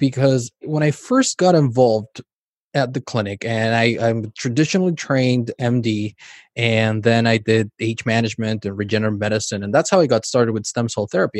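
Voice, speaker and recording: Here is an unremarkable speaking voice: a man of medium pitch talking at a fairly quick pace with ordinary pitch variation. The recording is very clean and silent behind him, dry and close with no echo. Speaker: podcast host. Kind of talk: interview conversation.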